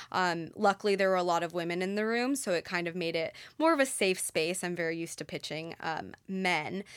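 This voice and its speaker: In a very clean recording with a silent background, a woman with an ordinary speaking voice talks at a moderate pace, medium in pitch with ordinary pitch variation. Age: 20s. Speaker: company founder. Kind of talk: interview.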